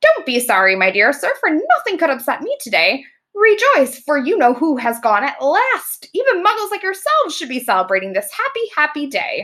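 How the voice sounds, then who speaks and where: In a squeaky, put-on character voice pitched high for a woman, she swings her pitch very widely and talks at a moderate pace with hardly any pauses. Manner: gleeful, cheerful.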